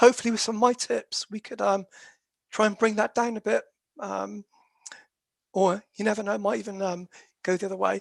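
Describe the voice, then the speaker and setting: In a put-on character voice, a woman sounds croaky and hoarse at a medium pitch, moving at a fairly quick pace. She takes long, frequent pauses, and the sound is dry and close with no echo. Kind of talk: professional, hesitant with fillers.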